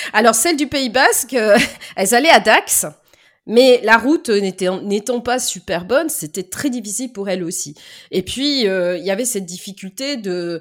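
A plain, everyday voice with lively intonation moves at a fairly slow pace in a very clean recording with a silent background. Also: woman, fairly high pitch for a woman. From Lyon area, France. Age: 40s. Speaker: dental assistant. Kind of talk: casual interview.

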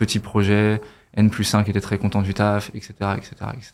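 A man with a fairly low pitch, monotone and flat, at a moderate pace on a very clean recording with a silent background. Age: 30s. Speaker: marketing agency founder. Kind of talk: casual chat.

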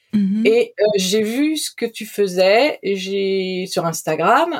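The intonation is lively. It is a plain, everyday voice. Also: woman. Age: 40s. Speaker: podcast guest sharing recovery from eating disorder. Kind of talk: testimony.

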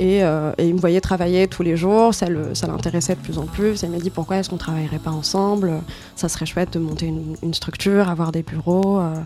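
Over noticeable background noise, a woman speaks fairly quickly at a fairly low pitch with monotone, flat intonation. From Morocco, Rabat. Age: 20s. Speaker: DJ and artist manager. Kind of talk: casual interview. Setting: at home.

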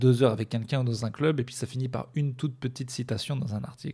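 This man's voice has a medium pitch and a dark, mellow tone, somewhat breathy. He talks at a fairly quick pace. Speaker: stand-up comedian and podcaster. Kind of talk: stand-up comedy, deadpan dark-humor routine on tour, news and depression jokes. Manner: rambling, halting, hesitant with many fillers and restarts.

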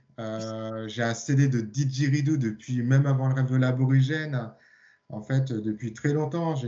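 With a medium pitch and fairly even intonation, a man talks at a fairly slow pace in a plain, everyday voice. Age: 50s. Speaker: sound therapist and hypnotherapist. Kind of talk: casual chat.

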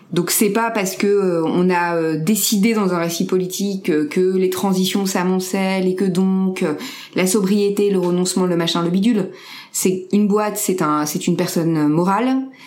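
A voice at a moderate pace with very even loudness and fairly even intonation, heard over noticeable background noise with audible room echo. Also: woman. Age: 30s. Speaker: entrepreneur. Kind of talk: interview.

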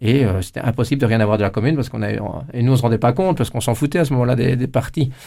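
A man talks at a very fast pace with ordinary pitch variation. The recording is very clean, with a silent background. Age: 50s. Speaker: politician. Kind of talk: interview. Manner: halting, many repetitions.

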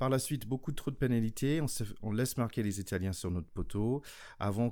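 Lively intonation marks this speech, delivered with a non-native accent. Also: man, very clean recording, silent background. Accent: own accent, apparently non-native French. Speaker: podcast host, former American football player. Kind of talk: casual chat.

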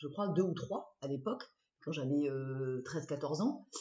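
This woman's voice is very deep and low. Her pitch varies in an ordinary way. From southwest France, Dordogne (Bergerac). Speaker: former fashion journalist, rugby player's wife. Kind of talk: interview. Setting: at home. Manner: animated.

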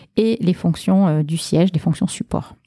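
Speaking in a southwestern French accent, a woman has a fairly low voice with a dark, mellow tone. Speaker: bank marketing and communications director. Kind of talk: interview.

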